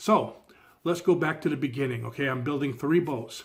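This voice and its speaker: A man's fairly high voice carries a somewhat breathy quality and ordinary pitch variation. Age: 60s. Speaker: DIY boat builder and vlogger. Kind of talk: casual video introduction. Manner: upbeat, conversational.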